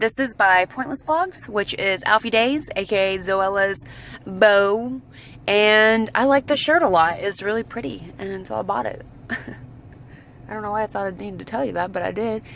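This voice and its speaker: The woman talks at a moderate pace with lively intonation. The sound is dry with no echo, and there is light background noise. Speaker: vlogger. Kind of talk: casual vlog chat. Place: car. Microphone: phone near.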